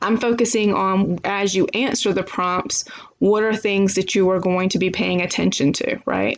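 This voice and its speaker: Her voice, a normal speaking voice, is a woman's at medium pitch, moving at a moderate pace with ordinary pitch variation. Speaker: history professor. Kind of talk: lecture.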